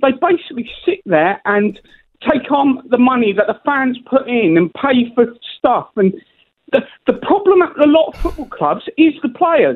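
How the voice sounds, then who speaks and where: Very wide pitch swings at a moderate pace, against a quiet background. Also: man, extremely high pitch for a man. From England. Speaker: caller. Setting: phone call. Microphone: phone line.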